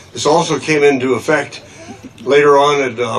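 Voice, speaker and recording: There is noticeable background noise as a man with an American accent speaks at a moderate pace. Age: 80s+. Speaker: conservation scientist. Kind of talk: rally speech. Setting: outdoor rally with audience. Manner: halting.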